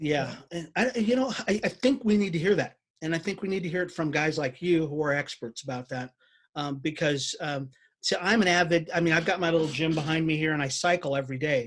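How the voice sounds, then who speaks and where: With an unremarkable speaking voice, a man talks at a fairly high pitch and a fairly quick pace with ordinary pitch variation. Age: 50s. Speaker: business chamber president and podcast host. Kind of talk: interview.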